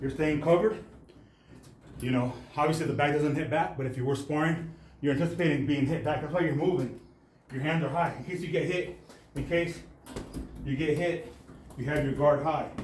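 A man talks at a fairly quick pace. Audible room echo and light background noise surround his voice. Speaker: boxing fitness coach. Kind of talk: tutorial. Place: gym.

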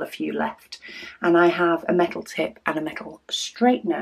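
A woman speaking at a fairly slow pace. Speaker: craft video host. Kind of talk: casual vlog chat. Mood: cheerful, relaxed.

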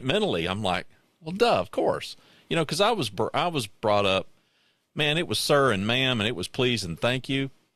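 Bright and sharp in tone, a man talks at a moderate pace with very wide pitch swings in a dry sound with no echo. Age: 60s. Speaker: podcast host. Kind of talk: casual chat. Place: home room. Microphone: studio mic.

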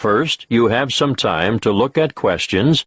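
A man with a plain, everyday voice speaks at medium pitch and a fairly slow pace, with lively intonation. The sound is dry and close, with no echo. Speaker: exam narrator. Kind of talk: scripted instructions. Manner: formal.

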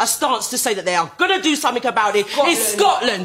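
Against noticeable background noise, a woman speaks in an angry tone with very wide pitch swings. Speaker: grandmother. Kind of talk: angry public plea to politicians, impassioned speech. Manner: angry, emotional, fed up.

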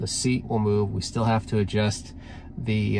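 Noticeable background noise sits behind a man speaking at a moderate pace and fairly low pitch. His voice is somewhat breathy and his intonation monotone and flat. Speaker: car owner vlogger. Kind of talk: tutorial. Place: car. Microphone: phone near.

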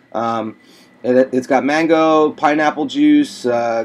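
A man with an American accent, a fairly high pitch, ordinary pitch variation and a very slow pace. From Pennsylvania, US. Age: 30s. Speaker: vlogger. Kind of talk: video diary. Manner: halting, many fillers. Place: home room. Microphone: webcam.

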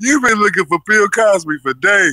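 A man with a high pitch projects a raised voice with a bright, sharp tone and very wide pitch swings. He goes at a fairly slow pace, and the sound is dry and close with no echo. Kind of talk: online show host roasting someone. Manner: brash, profane, mocking.

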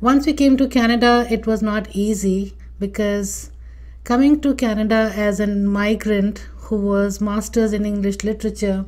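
Somewhat breathy, a woman speaks at a moderate pace in a medium pitch. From India, Delhi. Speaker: immigration consultant and podcast host. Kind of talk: personal story monologue.

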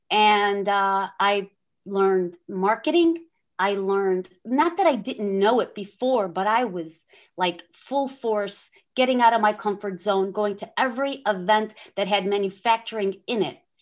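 At a fairly slow pace, a woman talks with ordinary pitch variation against a quiet background. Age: 50s. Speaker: manufacturing business owner; panelist. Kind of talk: panel discussion. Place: home room. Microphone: webcam.

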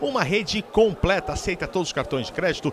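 Animated in tone, a man's voice swings very widely in pitch over noticeable background noise. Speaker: football match commentator. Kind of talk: live football commentary. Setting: stadium commentary with sponsor ad reads. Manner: excitable, animated, shouting goal calls.

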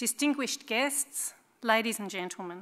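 A speaking woman, her pace fairly quick. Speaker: event host. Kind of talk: formal welcome speech. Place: hall. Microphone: headset.

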